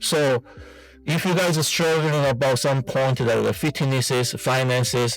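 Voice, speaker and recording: A man with a Korean accent talks at a moderate pace and a medium pitch. His intonation stays fairly even, with music in the background. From South Korea. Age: 40s. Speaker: fitness vlogger and amateur bodybuilder. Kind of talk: casual vlog monologue. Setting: in a car. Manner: halting.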